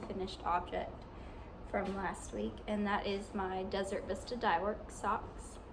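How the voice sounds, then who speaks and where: With an American accent, a woman speaks at a very slow pace against noticeable background noise. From US South, southwest Arkansas. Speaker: knitting podcaster. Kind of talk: casual video podcast. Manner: halting, many ums and restarts. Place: home room. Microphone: phone near.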